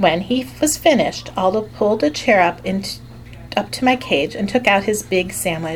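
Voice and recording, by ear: Someone reads aloud naturally, the intonation lively throughout.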